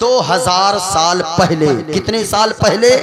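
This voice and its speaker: Against crowd noise and audible room echo, a man speaks in a raised, projected voice with an animated tone and lively intonation. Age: young. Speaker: Islamic preacher. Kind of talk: sermon.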